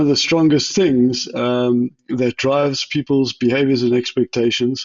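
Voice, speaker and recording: A man speaks with a South African accent. His pitch is fairly high and his intonation fairly even. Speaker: chief technology officer. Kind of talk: interview. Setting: podcast. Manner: hesitant, many fillers and restarts.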